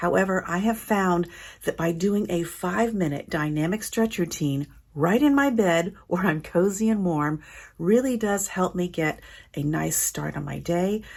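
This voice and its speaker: A woman speaks fairly slowly in a plain, everyday voice, at a medium pitch with ordinary pitch variation. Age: 60s. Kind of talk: fitness instruction. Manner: gentle, calm.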